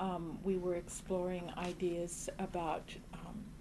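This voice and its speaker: Strong enough to hear, room echo surrounds a woman's voice. She speaks at a fairly low pitch with a dark, mellow tone. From US Midwest, Champaign, Illinois. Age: 60s. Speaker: community arts organizer. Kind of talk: oral history interview. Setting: office. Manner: halting.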